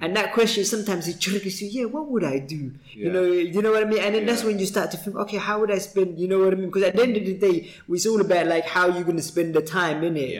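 A man talks at a very fast pace with hardly any pauses, using a high pitch and ordinary pitch variation. Noticeable background noise runs underneath. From East London. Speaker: podcast host. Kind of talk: casual, conversational, uses slang like "innit".

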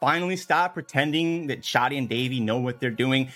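The voice belongs to a man with a fairly high pitch. His tone is animated. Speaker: fantasy league team owner, comedic promo. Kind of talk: scripted comedic rant, promo. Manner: animated, sarcastic, profane.

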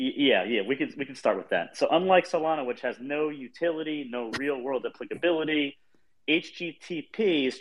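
Lively intonation at a moderate pace from a man, in an ordinary speaking voice. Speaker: crypto art collector. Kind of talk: casual banter in an online audio space. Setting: online audio space.

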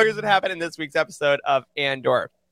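A man's raised, projected voice, bright and sharp in tone, with a dry, close sound and no echo. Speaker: podcast host. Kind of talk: casual chat.

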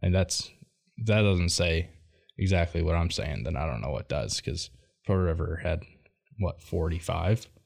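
In an American accent with vocal fry, the speaker talks at a moderate pace with ordinary pitch variation and long, frequent pauses. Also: man, very deep, low pitch for a man. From Michigan, Macomb. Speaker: college baseball player. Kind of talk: interview. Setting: studio.

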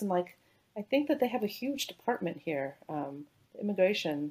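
A woman with an American accent talks at a moderate pace in a medium pitch. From California, Bay Area. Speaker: physician, anesthesiologist. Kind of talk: casual interview.

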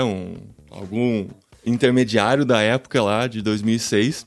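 A man's voice carries the clip. Behind him, music can be heard. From Brazil, interior of São Paulo (Piracicaba). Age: 40s. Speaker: podcaster. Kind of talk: interview conversation. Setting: video call live stream from home office. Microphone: studio microphone.

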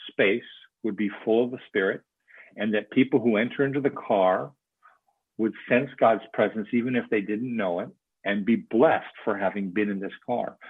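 Ordinary pitch variation marks a plain, everyday voice. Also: man. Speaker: church movement leader and author. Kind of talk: casual interview conversation.

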